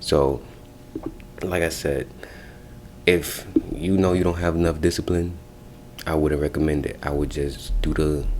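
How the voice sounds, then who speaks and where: A quiet man with a very deep, low pitch at a moderate pace, with audible room echo and noticeable background noise. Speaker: spiritual practitioner offering spell services. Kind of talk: casual advice video. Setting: office. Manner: quiet, talking low.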